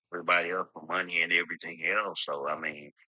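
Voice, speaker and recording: Very deep and low in pitch yet bright and sharp in tone, a man speaks at a moderate pace with an American accent and monotone, flat intonation. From Georgia, US South. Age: 60s. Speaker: panel participant. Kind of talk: casual debate on live stream. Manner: halting, many fillers.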